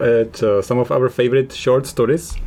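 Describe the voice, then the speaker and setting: Mumbling at a fairly quick pace, a man with a non-native accent speaks with ordinary pitch variation. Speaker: podcast host. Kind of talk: casual chat. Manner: fast, mumbling.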